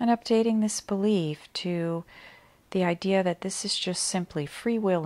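A plain, everyday voice at a fairly slow pace, in a very clean recording with a silent background. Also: woman. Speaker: meditation guide. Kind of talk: guided meditation, calm soothing instructions with long pauses. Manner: slow, gentle, soft-spoken; soothing, measured pacing.

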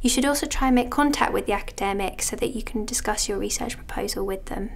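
A woman's voice, high in pitch. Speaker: university admissions officer. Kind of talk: informational explainer. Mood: calm, friendly, informative. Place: office. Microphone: lapel.

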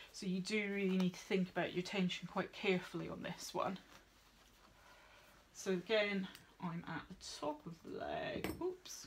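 Somewhat breathy and monotone, with flat intonation, a woman speaks at a moderate pace with long, frequent pauses over light background noise. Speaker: veterinary nurse instructor. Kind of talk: tutorial. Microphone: phone near.

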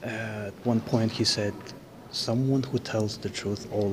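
Noticeable background noise sits behind a man with a fairly low pitch. He talks at a fairly slow pace with fairly even intonation. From Azerbaijan (Baku). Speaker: video blogger. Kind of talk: casual vlog tour and chat. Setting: museum, walking tour. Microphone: phone near.

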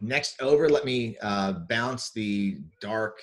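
Here a man talks slowly in a fairly low voice. His intonation is lively.

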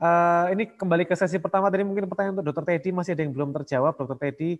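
This man's voice is high in pitch and carries ordinary pitch variation. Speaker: webinar moderator. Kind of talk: moderated webinar discussion. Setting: video call. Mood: polite, smiling. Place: home room. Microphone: earbuds.

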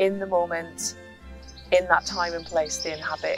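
A woman's voice with faint music in the background. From Scotland. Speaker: community tapestry artist. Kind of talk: documentary narration about own work. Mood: warm, reflective. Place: garden.

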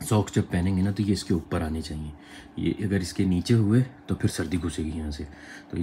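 A man's very deep, low-pitched voice, somewhat breathy. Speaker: travel vlogger. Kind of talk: casual vlog chat. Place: home room. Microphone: phone near.

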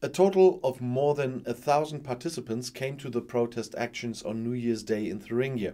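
The man's voice is dark and mellow in tone, with a medium pitch. He speaks at a moderate pace with ordinary pitch variation. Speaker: news video presenter. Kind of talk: news reading. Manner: formal, even-paced; neutral, matter-of-fact. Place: studio.

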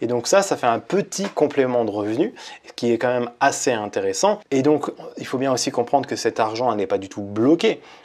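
A man at a moderate pace with lively intonation. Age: 30s. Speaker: YouTuber on personal finance and online business; YouTuber on personal finance. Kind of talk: tutorial. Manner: casual. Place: home room. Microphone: lapel.

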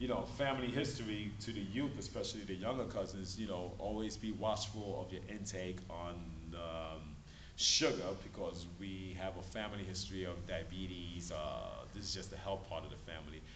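With light background noise, a man speaks at a moderate pace, his fairly low, somewhat breathy voice showing ordinary pitch variation. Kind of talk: casual family talk to camera. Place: hall. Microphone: camera far.

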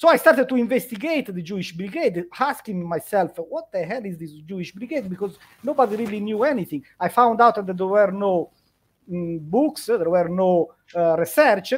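A man speaks in a high voice with lively intonation. His loudness rises and falls sharply. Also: moderate pace. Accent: Italian. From Italy. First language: Italian. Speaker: history lecturer. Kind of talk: interview on history. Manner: halting, with repetitions. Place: home room. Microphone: headset.

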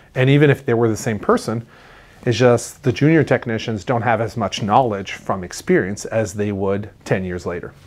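Ordinary pitch variation and a moderate pace from a male speaker. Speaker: marine technician host. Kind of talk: explanatory Q&A talk to camera. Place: studio. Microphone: lapel.

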